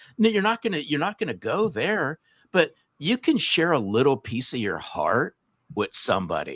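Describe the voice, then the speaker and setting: An American accent with vocal fry and very wide pitch swings, on a very clean recording with a silent background and a dry, close sound with no echo. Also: man, moderate pace. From US West Coast, Southern California. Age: 60s. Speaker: sales author and speaker. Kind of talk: podcast interview.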